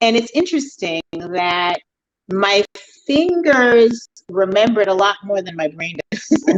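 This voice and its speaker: An unremarkable speaking voice moves at a fairly slow pace with lively intonation and big swings in loudness, in a dry, close sound with no echo. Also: woman, medium pitch for a woman. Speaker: author. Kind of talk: casual interview chat.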